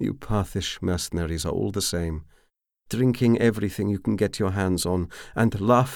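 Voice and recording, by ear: Reading aloud in a natural voice, the speaker shows ordinary pitch variation against a quiet background.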